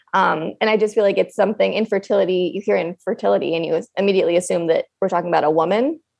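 A woman with an American accent speaks at a fairly quick pace. She has an ordinary speaking voice and medium pitch. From upstate New York. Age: 20s. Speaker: fertility nurse. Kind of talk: casual chat.

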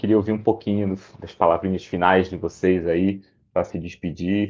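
Against a quiet background, a man speaks in a fairly low, monotone, flat voice. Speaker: tech executive, panel moderator. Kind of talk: panel moderation. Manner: casual.

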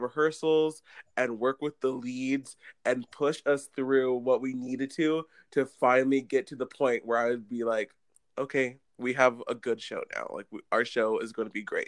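A man's ordinary speaking voice at medium pitch and moderate pace, in a dry, close sound with no echo. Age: young. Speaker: youth theater director. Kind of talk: casual chat.

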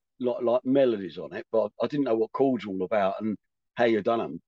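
A plain, everyday voice at a fairly quick pace, in a dry, close sound with no echo. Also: man. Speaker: rock singer. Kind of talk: casual interview chat.

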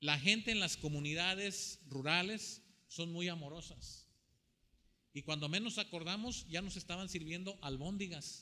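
A man speaks in a high-pitched voice with a bright, sharp tone. His delivery is animated. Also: ordinary pitch variation, fairly slow pace. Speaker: preacher. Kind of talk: sermon preached to a live congregation, with scripture reading. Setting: church with congregation, also streamed online. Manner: animated, repetitive, exhortative, with rhetorical questions to the audience.

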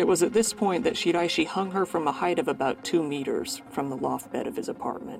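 A man with a high pitch and a serious tone talks at a fairly quick pace, with very wide pitch swings and hardly any pauses. Noticeable background noise runs under his voice. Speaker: true crime podcast host. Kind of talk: true-crime documentary narration. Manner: measured, serious, storytelling delivery; conversational, occasionally with filler words.

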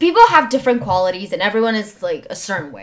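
A woman talks at a fairly quick pace with a fairly high pitch and very wide pitch swings. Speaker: podcast guest. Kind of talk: casual chat. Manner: loud.

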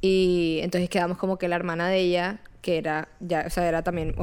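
A woman's fairly low voice, monotone and flat, at a moderate pace with very even loudness, on a very clean recording over a silent background. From Colombia, Barranquilla. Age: 20s. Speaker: podcast co-host. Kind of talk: casual chat.

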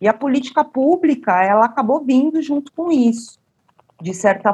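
A woman talks with lively intonation. Her voice is somewhat breathy. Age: 40s. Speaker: cultural producer and policy researcher. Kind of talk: interview.

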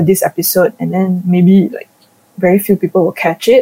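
The voice has a dark, mellow tone, sounds somewhat breathy, and keeps a fairly even intonation. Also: woman. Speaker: podcast host. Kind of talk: casual chat. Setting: online recording call.

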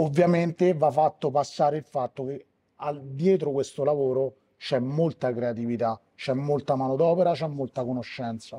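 At a moderate pace, a man speaks with a fairly high pitch and fairly even intonation, the sound dry and close with no echo. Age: 40s. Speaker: bar owner and bartender. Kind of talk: interview. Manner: hesitant, with fillers.

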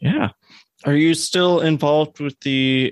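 The man has an unremarkable speaking voice with ordinary pitch variation. He keeps a moderate pace, and the sound is dry and close with no echo. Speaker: podcast interviewer. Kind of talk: casual interview conversation.

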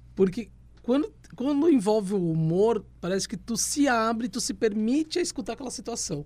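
Lively in intonation, a man with a high pitch and a dark, mellow tone speaks at a moderate pace. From Rio Grande do Sul, Brazil. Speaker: historian and tarot reader. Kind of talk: casual chat.

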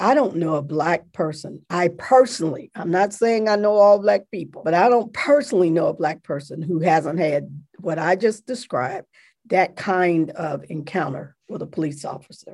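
A woman with a normal speaking voice, fairly low in pitch, talks at a moderate pace with lively intonation. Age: 60s. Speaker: theology professor and seminary dean. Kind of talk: interview. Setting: video call.

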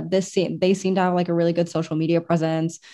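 A woman's dark, mellow tone at a medium pitch over a quiet background. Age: 20s. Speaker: anime podcast co-host and cosplayer. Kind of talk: casual chat.

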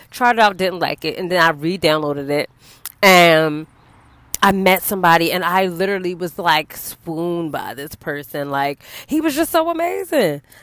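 At a moderate pace, a woman with a fairly low pitch sounds animated, showing ordinary pitch variation. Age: 30s. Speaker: podcast host. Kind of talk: casual monologue.

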